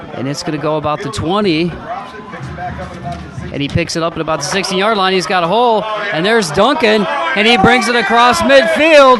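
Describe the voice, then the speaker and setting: A man's high-pitched voice at a fairly quick pace, with very wide pitch swings and music in the background. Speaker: sportscaster. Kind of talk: football play-by-play.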